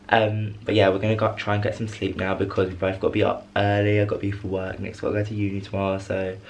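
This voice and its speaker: The man talks at a very fast pace. Noticeable background noise is present. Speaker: vlogger. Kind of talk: casual vlog.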